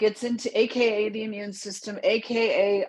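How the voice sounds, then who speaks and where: This is a woman speaking. Her voice sits at a medium pitch. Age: 60s. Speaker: wellness support circle leader. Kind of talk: casual group discussion. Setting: video call livestream. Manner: animated.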